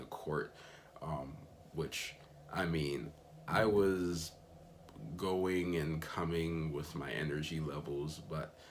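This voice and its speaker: A man with an American accent speaks at a very deep, low pitch and a very slow pace, with fairly even intonation. Long, frequent pauses break up his speech, and room echo is audible. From Miami, Florida, US. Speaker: missionary vlogger. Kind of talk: casual vlog recap. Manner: casual with frequent fillers.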